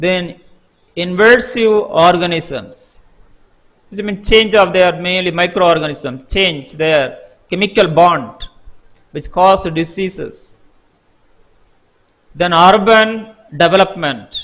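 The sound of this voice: A man's slow, high-pitched voice with a fairly bright tone. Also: ordinary pitch variation.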